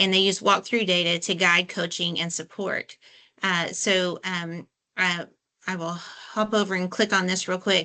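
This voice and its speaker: A woman's bright, sharp, medium-pitched voice, fairly slow and flat in a monotone. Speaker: education specialist. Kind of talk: webinar presentation.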